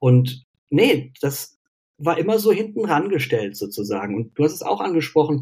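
A man's somewhat breathy voice, fairly high in pitch, moves at a moderate pace with very wide pitch swings. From Cologne, western Germany. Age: 40s. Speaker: mental health coach and university lecturer. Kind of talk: casual interview. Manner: hesitant, many fillers.

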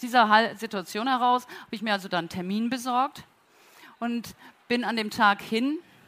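The woman's tone is bright and sharp. Her pitch is fairly high, with ordinary pitch variation. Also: moderate pace. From northern Germany, Flensburg. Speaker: company co-founder and executive. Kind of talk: conference talk. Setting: auditorium at a trade fair, amplified.

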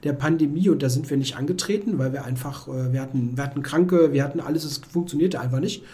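This is a plain, everyday voice, moving along fairly quickly. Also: man. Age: 40s. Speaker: chess author. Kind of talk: casual chat.

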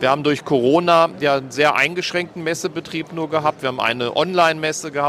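Over noticeable background noise, the speech comes at a very fast pace with fairly even intonation. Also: man. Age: 50s. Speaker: former mayor. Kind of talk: interview. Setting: trade fair stand.

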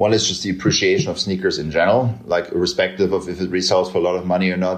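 A man speaks with a German accent. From Eastern Germany, rural village. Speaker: media executive. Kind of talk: interview conversation. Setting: video call.

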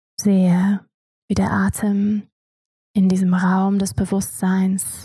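The tone is calm. The pace is very slow. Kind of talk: guided meditation. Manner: slow, soft, calm, hypnotic pacing with long pauses.

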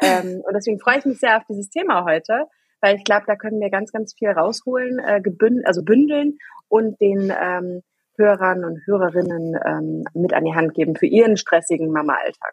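Her intonation lively and her pace moderate, a woman at a medium pitch speaks in a plain, everyday voice. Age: 30s. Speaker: working mother, podcast guest. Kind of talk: casual chat.

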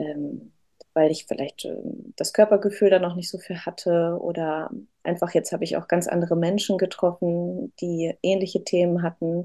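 A woman speaks at a moderate pace. Her tone is dark and mellow, her intonation fairly even. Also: fairly low pitch for a woman. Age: 30s. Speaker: mother sharing birth story. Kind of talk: interview testimony. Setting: in person with host.

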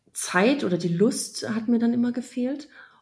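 A woman speaks very slowly at a fairly high pitch, her dark, mellow tone showing ordinary pitch variation amid audible room echo. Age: 30s. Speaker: app founder. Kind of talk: casual interview.

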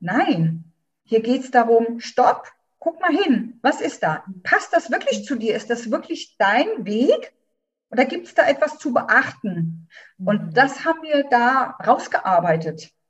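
A woman's high-pitched voice at a very slow pace, with very wide pitch swings. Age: 50s. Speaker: doula. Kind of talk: interview.

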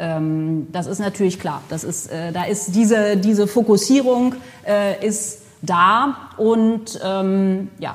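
The woman talks at a very slow pace. Her medium-pitched voice shows ordinary pitch variation. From Germany, Potsdam. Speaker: cultural institute director. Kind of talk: interview. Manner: frequent fillers (äh, ähm).

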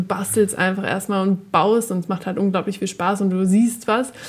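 Her intonation stays monotone and flat. The woman talks at a moderate pace. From northern Germany, Oldenburg. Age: young. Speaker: tech startup executive. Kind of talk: casual interview. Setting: studio.

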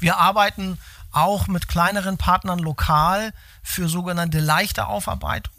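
A high-pitched male voice with a bright, sharp tone, fairly even intonation and a fairly slow pace. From Hamburg, northern Germany. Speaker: logistics company executive. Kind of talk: interview. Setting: in-person meeting at company site. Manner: hesitant, many fillers.

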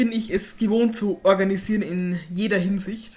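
Somewhat breathy, a woman at medium pitch speaks with fairly even intonation. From Upper Palatinate, Bavaria (Hohenfels). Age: 20s. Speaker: author. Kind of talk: casual interview.

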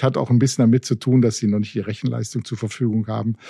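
In a dry, close sound with no echo and a quiet background, a man speaks at a medium pitch with a dark, mellow tone. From Ruhr area, Germany. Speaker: retail expert and consultant. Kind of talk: podcast interview.

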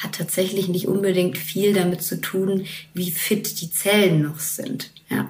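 Amid noticeable background noise and audible room echo, the speaker goes at a very slow pace with fairly even intonation. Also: woman. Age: 30s. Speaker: TV reporter. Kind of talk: casual chat. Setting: remote call from home office.

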